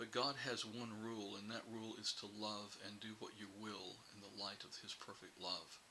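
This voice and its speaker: A man speaks at a fairly low pitch in a bright, sharp tone. His intonation stays monotone and flat. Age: 60s. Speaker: publishing CEO and writer. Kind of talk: reflective advice talk to camera.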